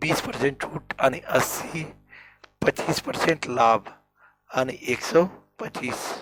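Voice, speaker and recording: A man's fairly high voice at a very slow pace, with long, frequent pauses, ordinary pitch variation, and music in the background. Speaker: maths teacher. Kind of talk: tutorial.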